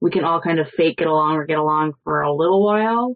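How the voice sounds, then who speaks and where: With a Canadian accent, a woman speaks at a moderate pace with ordinary pitch variation. Hers is a plain, everyday voice. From Toronto, Canada. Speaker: former reality show contestant. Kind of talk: casual chat.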